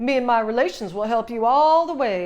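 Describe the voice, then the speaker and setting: A woman puts on a character voice, fairly high in pitch with lively intonation, talking at a moderate pace against a quiet background. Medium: read story.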